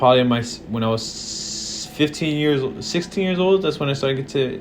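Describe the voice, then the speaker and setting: A man with an American accent, audible room echo and music in the background. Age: 20s. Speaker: vlogger. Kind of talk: casual monologue. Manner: halting.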